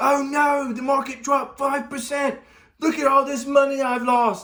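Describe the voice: In a put-on character voice, a man speaks at a moderate pace with an extremely high pitch and monotone, flat intonation.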